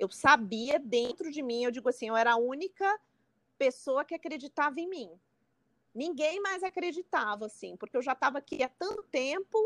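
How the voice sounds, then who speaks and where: Lively intonation marks a woman's speech, recorded with a dry, close sound and no echo. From Brazil, São Paulo. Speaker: psychotherapist. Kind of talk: casual interview.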